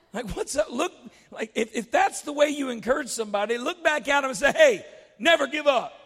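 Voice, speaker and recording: A man talks in an extremely high pitch with an animated tone, over noticeable background noise. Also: lively intonation, fairly quick pace. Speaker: pastor. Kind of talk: sermon.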